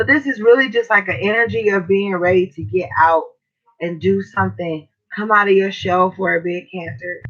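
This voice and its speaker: Moderate-paced speech with music in the background. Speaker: tarot reader. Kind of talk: live tarot reading stream. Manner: casual, slangy.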